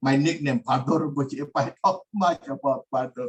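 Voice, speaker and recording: A man talks at a moderate pace in a fairly high, somewhat breathy voice. His pitch varies in an ordinary way, and the sound is dry and close with no echo. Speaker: Buddhist teacher. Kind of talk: dharma lecture. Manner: halting, many fillers.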